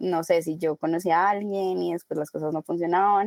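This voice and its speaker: The voice has a dark, mellow tone and fairly even intonation, captured dry and close with no echo. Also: woman. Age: 20s. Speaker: advertising professional, coaching client. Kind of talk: casual interview.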